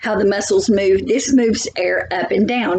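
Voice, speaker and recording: A woman with a plain, everyday voice speaks at a fairly slow pace. Her pitch is fairly high and her intonation lively. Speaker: biology teacher. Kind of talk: lecture.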